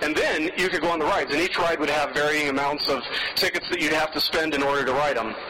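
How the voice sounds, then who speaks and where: Over noticeable background noise, a man with an American accent talks at a very fast pace in a fairly high pitch. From US West, Las Vegas, Nevada. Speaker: pastor. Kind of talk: sermon. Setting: church with congregation.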